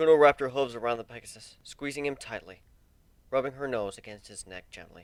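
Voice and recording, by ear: At a moderate pace, a man speaks in a clear, smooth tone.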